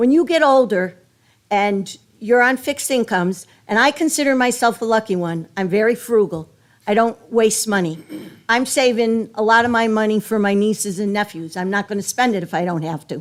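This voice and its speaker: Her pitch sits fairly high for a woman. She has an unremarkable speaking voice. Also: lively intonation, moderate pace. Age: 60s. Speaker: resident speaking at public hearing. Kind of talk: public comment at budget hearing.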